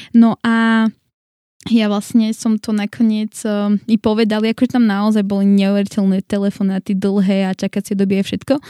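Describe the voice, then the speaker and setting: In a very clean, dry, close recording with a silent background and no echo, a woman speaks at a moderate pace and medium pitch in a dark, mellow tone with monotone, flat intonation. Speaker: church member living abroad. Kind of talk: casual interview.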